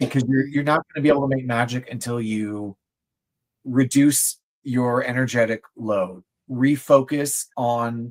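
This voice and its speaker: A man speaks in a plain, everyday voice at a medium pitch. His intonation stays fairly even, and the sound is dry and close with no echo. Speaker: tarot reader. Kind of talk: tarot reading on livestream.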